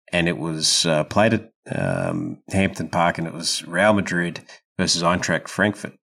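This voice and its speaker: A man with an Australian accent, very deep and low in pitch, at a fairly slow pace with ordinary pitch variation. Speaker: football podcast co-host. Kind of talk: casual chat.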